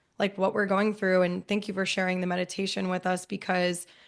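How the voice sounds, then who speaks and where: Against a quiet background, a woman with an American accent talks at a medium pitch. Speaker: podcast host. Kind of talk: casual interview chat. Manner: animated.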